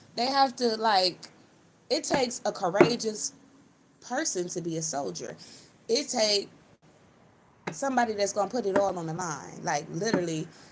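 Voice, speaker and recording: Very wide pitch swings at a moderate pace, long, frequent pauses and noticeable background noise. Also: woman, medium pitch for a woman. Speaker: spiritual channeler livestreamer. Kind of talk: live stream spiritual channeling monologue. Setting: live stream. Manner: casual, rambling with fillers.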